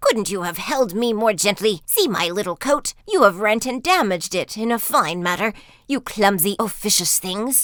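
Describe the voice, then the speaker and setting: A woman puts on a squeaky character voice at medium pitch and a moderate pace. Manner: petulant, complaining.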